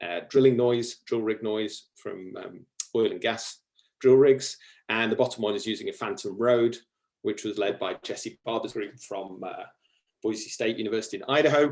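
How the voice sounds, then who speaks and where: Speaking at a moderate pace with a British accent, a man lets his loudness swing widely. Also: medium pitch for a man, ordinary pitch variation. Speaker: ecology researcher. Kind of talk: lecture. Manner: halting.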